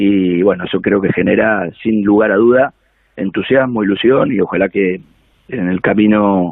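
In a plain, everyday voice, a man talks at a fairly slow pace with fairly low pitch and fairly even intonation. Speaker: football coach. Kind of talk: interview.

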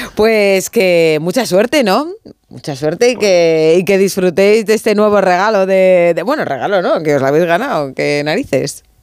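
This woman has an ordinary speaking voice at a medium pitch. She talks at a moderate pace with lively intonation. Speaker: sports radio host. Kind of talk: casual chat. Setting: studio.

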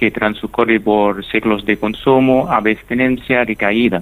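A man at a medium pitch talks at a fairly slow pace with fairly even intonation. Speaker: neuroscience researcher. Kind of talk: radio interview.

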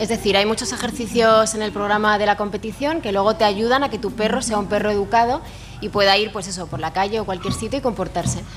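Noticeable background noise sits behind this woman. She talks at a very fast pace in a fairly high voice. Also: ordinary pitch variation. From Madrid, Spain. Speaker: dog obedience competitor. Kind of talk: interview.

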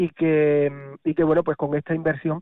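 A man's voice with a fairly high pitch. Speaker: mayor. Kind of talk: radio interview. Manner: halting.

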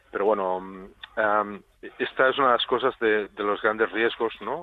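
This man speaks at a fairly low pitch. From Catalonia, Spain (Tàrrega). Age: 40s. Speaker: basketball coach. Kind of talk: radio interview. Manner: halting, many repeated words; calm.

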